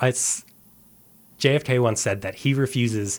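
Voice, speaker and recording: The recording is very clean, with a silent background. A man speaks at a medium pitch with a western Canadian accent. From Canada, suburb of Calgary, Alberta. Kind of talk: radio interview.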